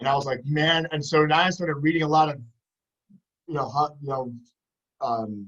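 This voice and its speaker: A man's fairly high voice in a New York accent with ordinary pitch variation. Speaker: podcast host and PE teacher. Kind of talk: casual chat. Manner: loud.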